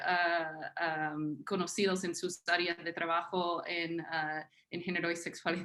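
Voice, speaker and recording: A woman speaks at a very slow pace and medium pitch. Her tone is bright and sharp. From US South, Tennessee, small town. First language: English (speaking Spanish). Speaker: historian, academic panelist. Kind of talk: panel talk, self-introduction. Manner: halting, many fillers.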